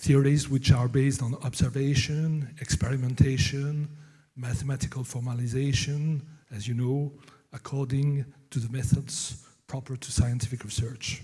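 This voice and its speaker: In a French accent, a man speaks at medium pitch with a dark, mellow, somewhat breathy tone, monotone, flat intonation and big swings in loudness. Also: moderate pace. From France. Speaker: novelist and professor. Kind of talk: conference talk. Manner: halting, many fillers.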